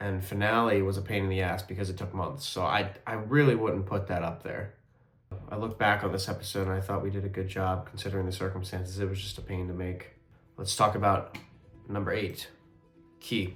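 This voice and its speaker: Over quiet background music and audible room echo, a man speaks fairly quickly in a fairly low pitch with monotone, flat intonation. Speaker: amateur filmmaker reviewing own web series. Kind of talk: casual video commentary. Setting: at home, indoors. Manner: quiet, subdued.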